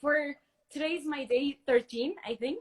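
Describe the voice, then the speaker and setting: A woman's bright, sharp voice with a Spanish accent. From Mexico. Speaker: fan caller on a livestream. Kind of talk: casual chat. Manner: halting.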